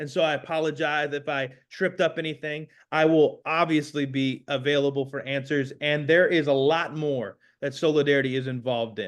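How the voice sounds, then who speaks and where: In a quiet background, a man talks at a fairly quick pace. His pitch is fairly high. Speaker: community organizer and pastor. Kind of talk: panel presentation. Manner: fast; animated.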